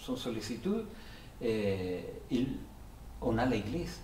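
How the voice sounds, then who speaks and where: A man with a Spanish accent talks at a very slow pace in a medium pitch, with audible room echo and noticeable background noise. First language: Spanish (speaking French). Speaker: Salvation Army officer, pastor. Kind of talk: testimony. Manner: halting, many repetitions.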